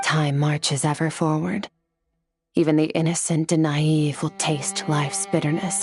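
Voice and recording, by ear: A put-on character voice with a slightly husky edge and slightly mellow tone, little pitch movement, a fairly slow pace, and faint music in the background. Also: woman, low pitch for a woman.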